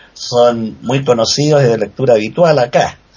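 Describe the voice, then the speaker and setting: Noticeable background noise surrounds a man speaking. His pace is moderate and his pitch variation ordinary. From Chile. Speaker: writer. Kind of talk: casual chat.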